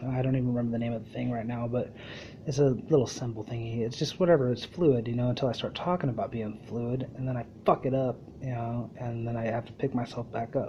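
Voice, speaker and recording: Very fast speech from a man with a medium pitch, fairly even intonation and a somewhat breathy quality. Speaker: podcast host. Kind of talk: casual monologue. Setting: live internet radio show. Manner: rambling run-on sentences.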